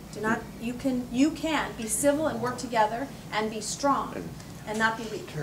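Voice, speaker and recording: A woman's fairly high voice with fairly even intonation, audible room echo and noticeable background noise. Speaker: politician. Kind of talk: campaign speech. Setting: cocktail party with audience. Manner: fast.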